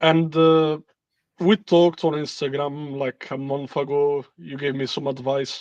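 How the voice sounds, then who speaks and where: With an Italian accent, a man speaks at a fairly slow pace, his fairly high pitch held to fairly even intonation. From Italy. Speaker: caller. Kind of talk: casual chat.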